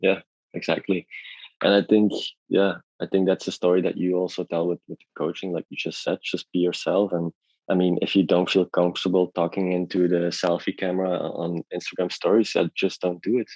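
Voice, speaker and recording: A man speaks at a fairly quick pace in a very deep, low voice, flat and monotone. The sound is dry and close with no echo, over a quiet background. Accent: non-native. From Belgium. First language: not English. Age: 30s. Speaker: artist and illustrator. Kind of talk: podcast interview. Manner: halting, many repeats.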